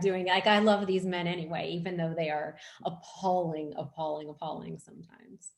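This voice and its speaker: A woman with a medium pitch speaks at a fairly quick pace. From Texas (moved from Pennsylvania at nine). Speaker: fiction author. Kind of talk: casual Q&A at book launch.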